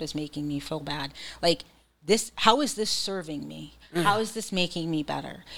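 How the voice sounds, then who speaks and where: Using an unremarkable speaking voice, a woman talks at a fairly quick pace with a fairly low pitch and ordinary pitch variation. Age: 40s. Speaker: psychiatric nurse practitioner. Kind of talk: casual chat.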